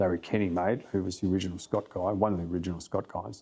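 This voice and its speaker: Over a quiet background, a man speaks with an Australian accent in a very deep, low pitch. His tone is dark and mellow, and his intonation stays fairly even. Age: 60s. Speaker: flyfishing guide and casting instructor. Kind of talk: podcast interview.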